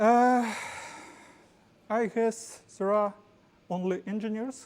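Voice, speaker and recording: A woman's dark, mellow tone, very slow, in a strong Ukrainian accent. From Ukraine. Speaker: tech company executive presenting at meetup. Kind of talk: tech talk presentation. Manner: halting.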